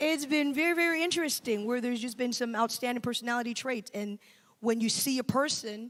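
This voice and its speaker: Ordinary pitch variation accompanies a fairly quick pace. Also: woman, high pitch for a woman. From Ghana. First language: Twi. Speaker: assistant pastor. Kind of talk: casual panel discussion.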